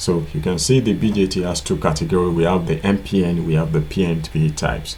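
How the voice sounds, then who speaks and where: Over noticeable background noise, the speech moves at a fairly quick pace with very even loudness. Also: man, very deep, low pitch for a man, ordinary pitch variation. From Nigeria. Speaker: electronics repair tutor. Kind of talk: tutorial. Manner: casual, repetitive with filler.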